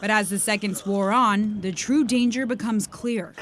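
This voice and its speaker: A woman's fairly high voice in a dramatic tone, with an American accent, ordinary pitch variation, and noticeable background noise. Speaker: TV news anchor and reporter. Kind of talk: dramatic news package narration. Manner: tense, dramatic.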